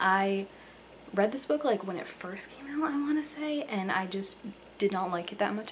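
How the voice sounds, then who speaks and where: A quiet woman's voice at medium pitch with lively intonation, amid noticeable background noise. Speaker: book reviewer. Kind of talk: casual reaction talk to camera. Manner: quiet, hushed.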